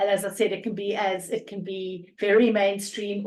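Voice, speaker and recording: Woman with a strong South African accent, in a monotone, flat delivery. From South Africa, Cape Town. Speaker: energy coach. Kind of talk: podcast interview.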